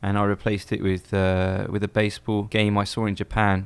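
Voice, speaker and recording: Speaking with an English accent, a man keeps a fairly quick pace and a fairly low pitch in a monotone, flat intonation. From England. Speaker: baseball fan and former teacher. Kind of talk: interview.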